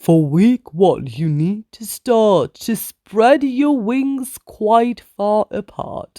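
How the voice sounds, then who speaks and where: This put-on character voice sits at a fairly high pitch. The words come out at a very slow pace. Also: hardly any pauses. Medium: read story. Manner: firm, instructive.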